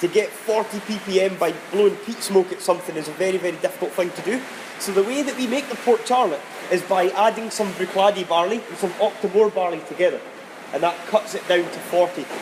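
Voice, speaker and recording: A man's high-pitched voice, with ordinary pitch variation, comes through noticeable background noise. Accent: Scottish. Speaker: distillery warehouse guide. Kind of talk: whisky tasting talk.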